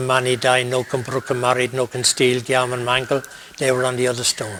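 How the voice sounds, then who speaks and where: Noticeable background noise sits behind a man speaking with an Irish accent. He talks at a fairly quick pace in a medium pitch. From Ireland. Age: 60s. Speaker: priest and university chaplain. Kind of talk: interview.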